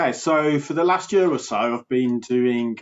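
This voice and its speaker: A man speaks with a Birmingham accent and ordinary pitch variation. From Birmingham, England. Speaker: health coach. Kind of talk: casual interview. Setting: remote call. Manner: energetic, animated.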